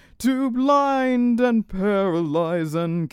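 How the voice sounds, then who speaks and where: The pace is very slow. A man uses a put-on character voice. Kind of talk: rhyming recorded tour announcement. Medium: audio drama. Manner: grandiose, sing-song.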